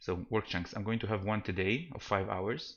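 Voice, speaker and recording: A soft-spoken man talks with a non-native accent. His intonation stays fairly even. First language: not English. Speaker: game developer streamer. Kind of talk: live stream commentary. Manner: soft-spoken, quiet; halting, many fillers and restarts.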